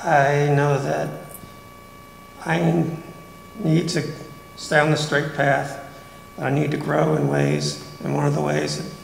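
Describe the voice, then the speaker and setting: A man talks amid light background noise, his voice carrying audible room echo. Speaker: church member. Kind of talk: testimony. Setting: church. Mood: warm, earnest. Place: church. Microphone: handheld.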